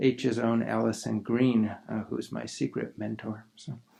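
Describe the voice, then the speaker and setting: Soft-spoken delivery at a moderate pace. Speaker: museum curator. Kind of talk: conference presentation. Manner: hesitant, many fillers.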